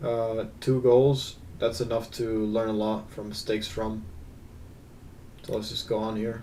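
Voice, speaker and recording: A man at medium pitch speaks at a fairly slow pace, with long, frequent pauses and monotone, flat intonation. Room echo is audible. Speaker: gaming video creator. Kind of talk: gameplay analysis commentary. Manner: casual, hesitant with fillers.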